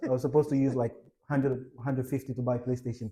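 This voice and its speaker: Somewhat breathy and dark, mellow in tone, a man of medium pitch talks at a fairly quick pace with a Ghanaian accent. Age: young. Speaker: entrepreneur and investor. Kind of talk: interview. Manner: halting, with many fillers.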